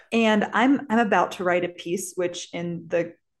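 With an American accent, a woman at a medium pitch speaks fairly slowly with ordinary pitch variation. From US Midwest, St. Louis area, Missouri. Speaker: podcast co-host and teacher. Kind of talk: casual chat.

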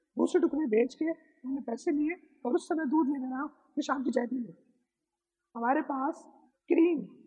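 A man's extremely high pitch in a dark, mellow tone, broken by long, frequent pauses. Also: ordinary pitch variation. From Pakistan, Karachi. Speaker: photographer. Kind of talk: interview.

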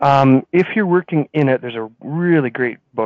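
An unremarkable speaking voice with a Canadian accent moves at a fairly quick pace with ordinary pitch variation. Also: man. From British Columbia, Canada (Kelowna). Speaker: franchise business owner. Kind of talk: interview.

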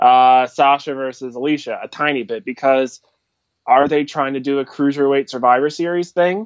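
A man with a normal speaking voice and fairly high pitch talks at a moderate pace in an American accent. His intonation is fairly even, with a dry, close sound and no echo. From US, Philadelphia. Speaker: wrestling fan and podcast supporter. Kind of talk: casual chat. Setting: Skype call.

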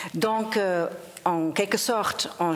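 Over noticeable background noise, a woman talks at a very slow pace, her medium pitch showing ordinary variation. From Germany. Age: 50s. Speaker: sound poet and performer. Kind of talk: panel discussion. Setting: stage with audience.

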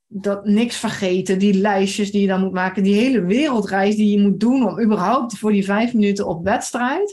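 A woman at a medium pitch speaks somewhat breathily at a moderate pace, her intonation fairly even. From Limburg, Netherlands (Maasbree). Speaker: horse rider. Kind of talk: casual chat.

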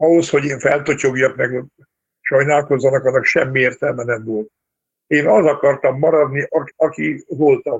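Somewhat breathy, a man talks at a moderate pace in a fairly high pitch with fairly even intonation. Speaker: retired military conductor. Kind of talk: interview.

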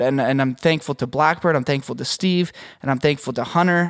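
Speaking with a Canadian accent, a man uses an ordinary speaking voice, fairly high in pitch with ordinary pitch variation. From Canada. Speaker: podcast host and audio engineer. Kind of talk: casual interview chat.

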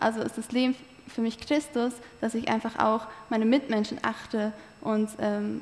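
The voice holds a monotone, flat intonation at a moderate pace. Noticeable background noise sits behind it. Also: woman. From eastern Turkey (Malatya). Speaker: theology student. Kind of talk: interview testimony.

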